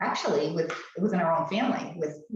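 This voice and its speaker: With fairly even intonation and a fairly low pitch, a woman talks over noticeable background noise amid audible room echo. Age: 70s. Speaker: skincare video guest, host's mother. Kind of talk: casual chat. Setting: live stream. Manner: halting, many fillers and restarts.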